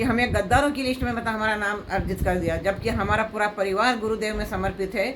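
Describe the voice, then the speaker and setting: A woman speaks at a fairly high pitch with fairly even intonation. Both audible room echo and noticeable background noise are present. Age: 70s. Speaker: devotee. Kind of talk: emotional appeal. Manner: halting.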